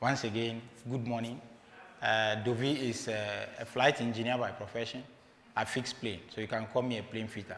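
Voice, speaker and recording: A man's medium-pitched voice in a Ghanaian accent, moderate in pace and monotone, with long, frequent pauses and audible room echo. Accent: Ghanaian English, non-native pronunciation. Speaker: motivational speaker, flight engineer. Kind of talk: motivational talk. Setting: stage with audience, livestreamed. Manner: conversational, halting.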